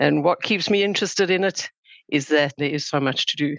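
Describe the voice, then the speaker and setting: With a South African accent, a woman speaks in a very deep, low pitch marked by vocal fry. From South Africa, Johannesburg. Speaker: sustainability consultant. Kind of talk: podcast interview.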